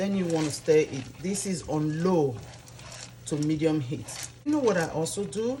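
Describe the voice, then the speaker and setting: The speech has lively intonation broken by long, frequent pauses, with audible room echo and noticeable background noise. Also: woman, very deep, low pitch for a woman, moderate pace. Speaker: cooking youtuber. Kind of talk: cooking tutorial. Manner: soft-spoken; animated.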